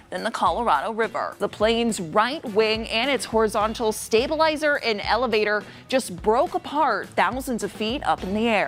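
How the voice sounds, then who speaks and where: A woman with a fairly high voice speaks at a moderate pace and with lively intonation. Music is playing behind her. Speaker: TV news reporter and anchor. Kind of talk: TV news anchor read.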